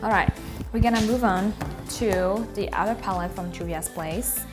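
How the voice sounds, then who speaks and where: A woman speaks with a Malagasy accent. Music plays in the background. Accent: Malagasy, non-native English. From Madagascar. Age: 20s. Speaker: beauty vlogger. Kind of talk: makeup tutorial talk to camera. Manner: casual.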